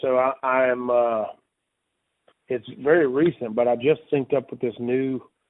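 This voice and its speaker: A man speaks with a Mississippi accent in a monotone, flat intonation. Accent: Mississippi Southern US. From Mississippi Delta, US South. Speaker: blues musician. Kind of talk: interview. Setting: radio show.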